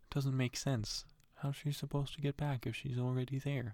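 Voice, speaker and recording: Putting on a character voice, a man mumbles at a moderate pace and a medium pitch. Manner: mumbling.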